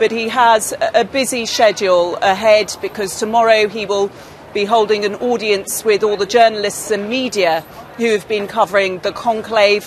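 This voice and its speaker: A woman with a rather high voice talks at an average speed and with rather level intonation, clear background noise underneath. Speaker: news correspondent. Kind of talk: live news report.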